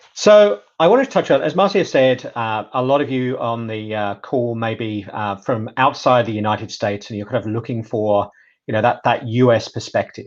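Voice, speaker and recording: A man with a British accent talks with hardly any pauses against a quiet background. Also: medium pitch for a man, ordinary pitch variation, moderate pace. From UK. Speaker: data privacy specialist. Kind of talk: webinar presentation.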